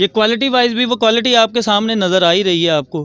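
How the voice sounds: A man's high-pitched voice at a fast pace, bright and sharp yet clear and smooth in tone, with ordinary pitch variation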